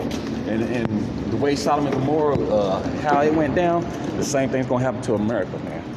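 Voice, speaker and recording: A man talks at a fairly quick pace with a medium pitch and ordinary pitch variation. There is noticeable background noise. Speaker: podcaster. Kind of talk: angry ranting sermon-style monologue. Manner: fiery, fast, agitated; repetitive, stumbling, filler-heavy.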